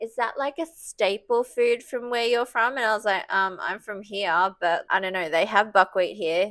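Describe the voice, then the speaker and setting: Speaking in an Australian accent, a woman keeps a fairly slow pace with ordinary pitch variation on a very clean recording with a silent background. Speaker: breast cancer patient vlogger. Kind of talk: casual talk to camera.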